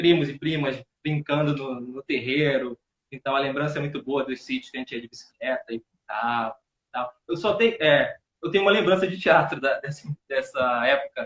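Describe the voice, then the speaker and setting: A man with an unremarkable speaking voice talks at a moderate pace, fairly high in pitch, with ordinary pitch variation. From Paraíba, Brazil (childhood), later Rio de Janeiro. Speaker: actor and theatre teacher. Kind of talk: casual live interview. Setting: live video stream.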